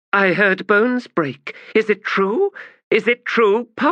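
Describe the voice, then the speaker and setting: A man uses a put-on character voice with a cackling, high pitch. He speaks at a fairly slow pace against a quiet background. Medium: read story. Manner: scornful, cackling, imperious.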